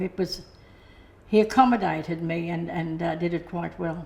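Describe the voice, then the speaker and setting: This woman, with an Australian accent, sounds somewhat breathy. She talks at a fairly slow pace with ordinary pitch variation. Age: 70s. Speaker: hearing aid customer. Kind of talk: testimony. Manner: halting.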